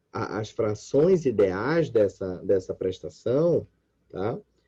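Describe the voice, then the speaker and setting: A man is speaking. The background is quiet. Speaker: law professor. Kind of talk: lecture.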